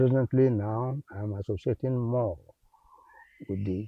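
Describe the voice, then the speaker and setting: Her counterpart aside, this man talks at a fairly slow pace in a somewhat breathy, medium-pitched voice with ordinary pitch variation. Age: 80s+. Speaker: environmental activist. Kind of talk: interview.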